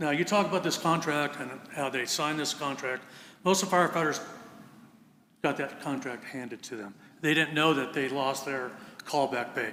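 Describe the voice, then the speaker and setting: Pausing long and often, a man with a fairly high pitch and ordinary pitch variation speaks at a fairly quick pace amid audible room echo. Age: 70s. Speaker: volunteer fire captain. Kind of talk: public comment at council meeting. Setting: city council meeting.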